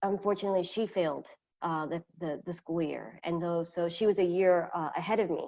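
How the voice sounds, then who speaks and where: The tone is dark and mellow, the intonation fairly even, and the background quiet. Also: woman, fairly low pitch for a woman. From US, moved to a Spanish-speaking country at 12. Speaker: entrepreneur. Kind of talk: interview. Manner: halting.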